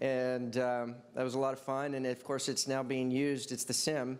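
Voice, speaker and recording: Here a man speaks at medium pitch with a Southern US accent. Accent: southern drawl. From Texas. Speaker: tech company executive. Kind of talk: panel discussion.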